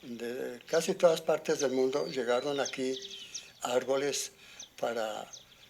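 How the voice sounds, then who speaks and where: Noticeable noise sits behind a man whose pitch varies in an ordinary way. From Colombia, rural Boyacá (Arcabuco). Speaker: farmer. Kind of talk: interview. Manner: halting.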